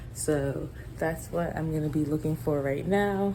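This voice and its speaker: With audible room echo around her, a soft-spoken woman whispers at a moderate pace. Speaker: lab coordinator and vlogger. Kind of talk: casual vlog narration. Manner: whispering softly in the labs.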